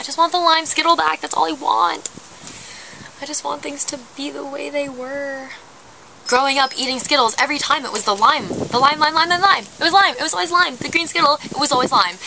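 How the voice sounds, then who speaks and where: A woman projects her raised voice, its loudness swinging widely, over light background noise. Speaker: vlogger. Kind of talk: casual vlog chat. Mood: wistful, playfully dramatic. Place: garden. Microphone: phone near.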